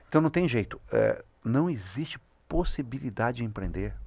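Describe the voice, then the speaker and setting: Speaking at a moderate pace, a man shows vocal fry and very wide pitch swings. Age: 60s. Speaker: business consultant. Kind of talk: podcast interview. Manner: halting, with many fillers.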